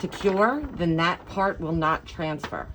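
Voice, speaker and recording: A woman speaks fairly slowly. Noticeable noise lingers in the background. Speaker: crafting YouTuber. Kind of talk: tutorial.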